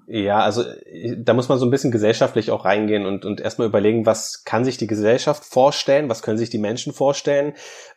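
A man's medium-pitched voice at a very fast pace, with fairly even intonation and a quiet background. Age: 30s. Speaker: media professional and tiny house owner. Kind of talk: interview.

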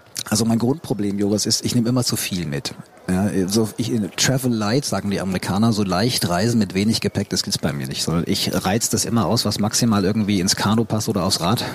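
Fairly low-pitched male speech with ordinary pitch variation, over noticeable background noise. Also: fairly quick pace. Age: 50s. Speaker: photographer and adventurer. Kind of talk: casual interview.

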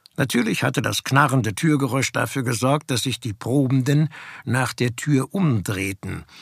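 A passage is read aloud in a natural voice.

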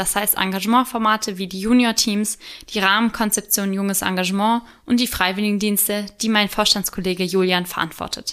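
A woman with medium pitch speaks at a fairly quick pace in monotone, flat intonation. The recording is very clean, with a silent background. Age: 20s. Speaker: podcast co-host, volunteer youth sports board member. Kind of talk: scripted podcast intro. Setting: studio, sitting beside co-host.

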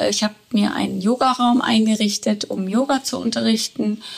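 Noticeable background noise is present. A woman's voice comes through it. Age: 60s. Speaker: yoga teacher. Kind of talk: interview. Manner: hesitant with many fillers.

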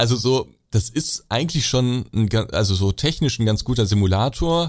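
Recorded very cleanly against a silent background, a man with an ordinary speaking voice talks at a medium pitch with ordinary pitch variation. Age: 20s. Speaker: YouTuber showing simulation games. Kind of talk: casual chat.

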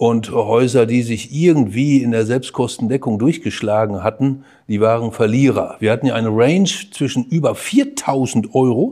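Pitch shifts in an ordinary way. The voice has a dark, mellow tone. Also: man. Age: 60s. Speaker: hospital executive and economist. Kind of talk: podcast interview.

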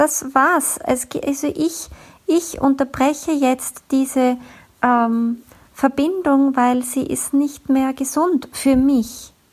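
Speaking at a very slow pace, a woman with a high pitch keeps very even loudness and fairly even intonation. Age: 40s. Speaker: podcast host, communication coach. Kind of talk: solo podcast monologue.

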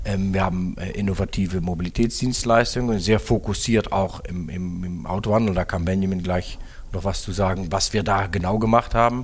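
Through noticeable background noise, a man with a Dutch accent speaks at a moderate pace, his pitch fairly low and his intonation fairly even. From Netherlands. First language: Dutch (speaking German). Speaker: car dealership executive. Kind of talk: interview.

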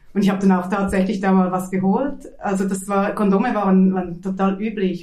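A woman at medium pitch and a fairly quick pace, with audible room echo and noticeable background noise. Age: 40s. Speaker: teacher and artist. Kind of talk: interview. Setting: at home. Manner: halting.

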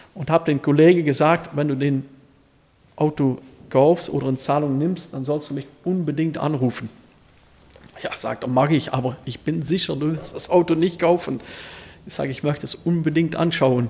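Noticeable noise sits behind a man speaking at a moderate pace with a fairly high pitch. His intonation is fairly even, and he pauses often and at length. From Netherlands, Limburg border region. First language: Dutch (speaking German). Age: 50s. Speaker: classic car dealer. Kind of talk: casual interview.

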